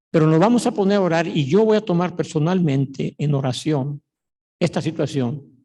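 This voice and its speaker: At a moderate pace, the voice has a dark, mellow tone and lively intonation. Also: man. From Mexico, Mexico City. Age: 70s. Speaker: pastor. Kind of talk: sermon.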